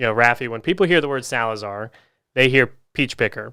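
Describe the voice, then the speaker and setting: On a very clean recording with a silent background, a man speaks in a bright, sharp tone with a Southern US accent. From US South, Augusta, Georgia. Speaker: physical rehab clinic owner. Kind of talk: interview. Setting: studio.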